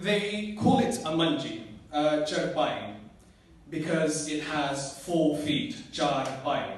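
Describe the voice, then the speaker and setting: Noticeable background noise sits behind a man who speaks very slowly at a fairly high pitch with lively intonation. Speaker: spoken word poet. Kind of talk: introducing a poem to a live audience.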